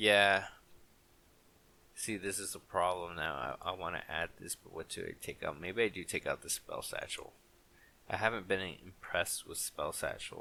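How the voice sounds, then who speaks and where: Speaking quietly at a moderate pace, a man's loudness swings widely. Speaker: gaming content creator. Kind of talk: gameplay commentary. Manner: quiet, with long pauses; halting.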